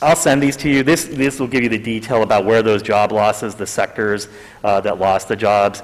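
A man talks in an ordinary speaking voice, fairly low in pitch, with ordinary pitch variation at a moderate pace. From Pittsburgh, western Pennsylvania; Pennsylvania. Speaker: economic development consultant; consultant presenting to council. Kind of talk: presentation. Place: meeting room.

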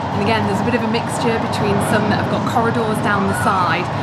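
Music plays in the background. A woman talks at a fairly quick pace. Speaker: travel vlogger. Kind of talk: casual vlog chat. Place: train. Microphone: phone near.

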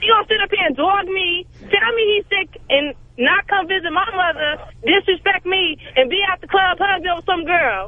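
Over noticeable background noise, a woman with a New York accent and an extremely high pitch talks at a moderate pace with ordinary pitch variation. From Brooklyn, New York. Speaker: caller. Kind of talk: call-in rant.

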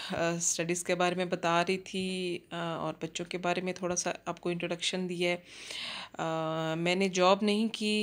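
The woman's pitch sits fairly low and her intonation is flat and monotone. She speaks at a fairly slow pace. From Pakistan, Jhang (Punjab); Punjab, Pakistan. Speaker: cooking vlogger, housewife; cooking vlogger. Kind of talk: casual vlog narration. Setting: outdoors in a park, then home kitchen. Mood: relaxed, friendly. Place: garden. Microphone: phone near.

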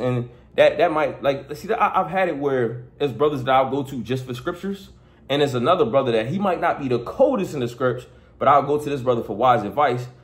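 The speaker talks at a fairly quick pace with a somewhat breathy sound. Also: man. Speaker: preacher. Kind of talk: sermon. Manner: conversational, repetitive; earnest, exhorting. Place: home room. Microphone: phone near.

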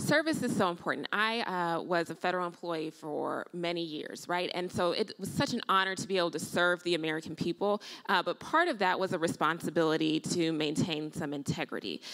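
Against a quiet background, a woman with a fairly low pitch and an ordinary speaking voice talks at a fairly quick pace with hardly any pauses and ordinary pitch variation. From Illinois. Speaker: nurse and potential congressional candidate; candidate. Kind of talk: panel discussion. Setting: stage with audience. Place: stage. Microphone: handheld.

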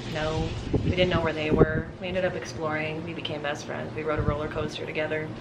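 A woman talks at a very fast pace. Loud background noise runs behind her. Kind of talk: casual vlog chat. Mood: cheerful, laughing. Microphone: camera far.

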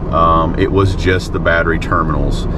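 Loud background noise surrounds a man whose voice has a dry sound with no echo. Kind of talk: casual vlog chat. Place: car. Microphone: camera far.

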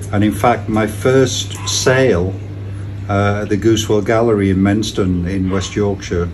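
Over music in the background, a man talks with fairly even intonation. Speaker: interviewee. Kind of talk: interview answer. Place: garden. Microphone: camera far.

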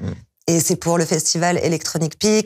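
Against a quiet background, a woman with a fairly low pitch talks at a very fast pace. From France. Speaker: DJ and music producer; DJ, guest. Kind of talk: interview. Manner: hesitant, many fillers. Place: studio. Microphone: lapel.

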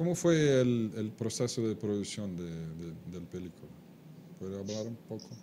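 The loudness rises and falls sharply, and the pitch swings very widely. The pace is fairly slow, with a Portuguese accent. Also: man, fairly low pitch for a man. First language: Portuguese (speaking Spanish). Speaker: webcast host. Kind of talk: live webcast interview.

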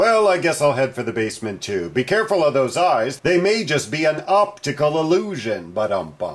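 A man's put-on character voice, fairly high in pitch, at a moderate pace with hardly any pauses.

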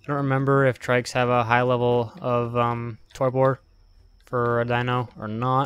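A flat, monotone delivery at a fairly slow pace, with big swings in loudness. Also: man, medium pitch for a man. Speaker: gaming YouTuber. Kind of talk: gameplay commentary. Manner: casual, filler-heavy.

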